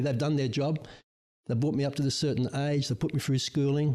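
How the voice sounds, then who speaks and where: A man with an Australian accent, fairly high in pitch, with a dark, mellow tone, fairly even intonation and a fairly quick pace. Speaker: guest, host's father. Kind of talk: casual chat.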